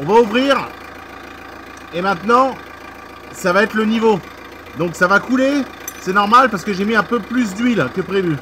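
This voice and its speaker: A man speaks at a moderate pace in a raised, projected voice, high in pitch with ordinary variation. Long, frequent pauses break up his speech amid noticeable background noise. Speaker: car mechanic youtuber. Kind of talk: tutorial. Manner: loud.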